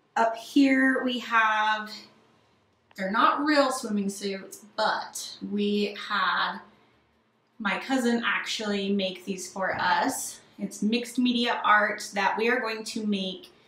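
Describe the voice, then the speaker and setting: With audible room echo, a woman speaks at a very slow pace and with ordinary pitch variation. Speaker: home renovation creator. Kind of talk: home tour narration. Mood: enthusiastic, proud. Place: bathroom.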